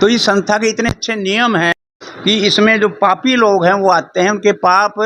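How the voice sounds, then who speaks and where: A man's raised, projected voice, high-pitched, bright and sharp in tone, with monotone, flat intonation. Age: 80s+. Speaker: religious society volunteer, master athlete. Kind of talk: interview.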